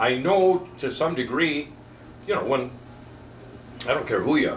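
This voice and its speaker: The intonation here is lively. Noticeable background noise and audible room echo surround the voice. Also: man. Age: 70s. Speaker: barber and small business owner. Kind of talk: casual interview during haircut. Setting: barber shop.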